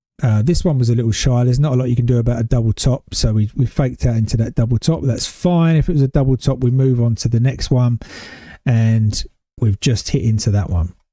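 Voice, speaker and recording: With a British accent, a man speaks in a dark, mellow, somewhat breathy tone at medium pitch and a moderate pace, with ordinary pitch variation and a dry, close sound with no echo. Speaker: day trader streamer. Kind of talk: live trading commentary. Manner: casual.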